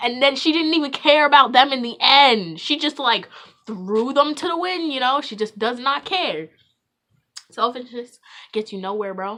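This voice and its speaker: A woman speaks high and bright in a raised, projected voice with a sharp tone. Her intonation is lively, and her loudness swings widely. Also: moderate pace. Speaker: vlogger. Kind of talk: casual monologue.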